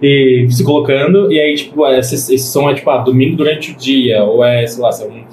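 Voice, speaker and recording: Audible room echo and noticeable background noise surround a man speaking in a fairly high pitch. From Greater Florianópolis, Brazil. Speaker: DJ. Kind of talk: casual chat.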